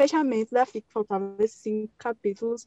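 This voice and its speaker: At a fairly slow pace, a woman with a fairly high pitch and ordinary pitch variation is heard in a dry, close sound with no echo. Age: 20s. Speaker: fanfiction writer. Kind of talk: interview.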